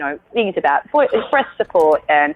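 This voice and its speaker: A woman speaks at a moderate pace with an Australian accent. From Australia, Sydney. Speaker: actor and singer. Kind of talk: interview. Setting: podcast interview.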